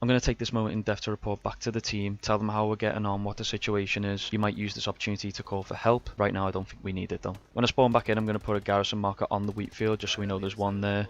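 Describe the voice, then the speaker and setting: A man speaks in a strong Scouse accent at a very fast pace, with hardly any pauses. His fairly low voice stays monotone and flat. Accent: Scouse, strong enough that some struggle. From Liverpool, England. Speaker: gaming tutorial youtuber. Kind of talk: tutorial voiceover. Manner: instructive, measured.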